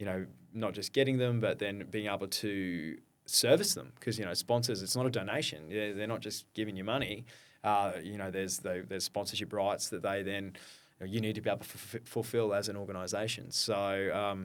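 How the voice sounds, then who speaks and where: A man's fairly low voice in an Australian accent, at a fairly quick pace with ordinary pitch variation. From Australia, Brisbane. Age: 40s. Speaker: founder of a community running organisation. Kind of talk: podcast interview.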